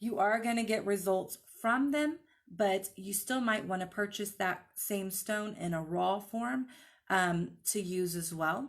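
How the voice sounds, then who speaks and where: An ordinary speaking voice, fairly slow in pace, its pitch varying in an ordinary way. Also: woman, medium pitch for a woman. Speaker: crystal healing teacher. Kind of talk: live online class. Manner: casual, filler-heavy.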